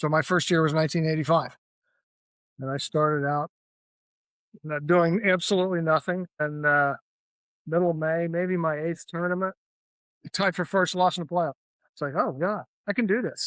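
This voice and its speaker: With an American accent, a man speaks in a high pitch and fairly even intonation, pausing long and often, in a dry, close sound with no echo. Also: moderate pace, quiet background. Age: 60s. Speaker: professional golfer. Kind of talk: interview. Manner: casual.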